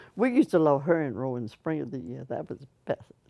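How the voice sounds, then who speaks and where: A woman with an American accent speaks in a very deep, low pitch and a dark, mellow tone, with vocal fry and very wide pitch swings, recorded in a dry, close sound with no echo. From Virginia, New Kent County. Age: 80s+. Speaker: oral history interviewee. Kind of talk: casual chat.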